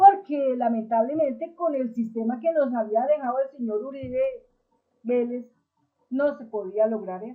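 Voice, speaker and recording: A woman speaks with a high pitch and ordinary pitch variation at a fairly slow pace. Her loudness swings widely. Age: 60s. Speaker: political commentator. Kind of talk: political commentary monologue.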